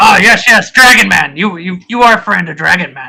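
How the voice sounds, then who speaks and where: A man's high-pitched, put-on character voice at a fairly quick pace. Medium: actual play. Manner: simple speech.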